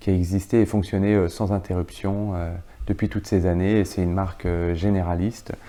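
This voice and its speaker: Very deep and low, a man's voice has a dark, mellow tone and monotone, flat intonation at a moderate pace. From France, Franche-Comté. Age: 40s. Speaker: business executive. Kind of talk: interview. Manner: hesitant, many filler sounds.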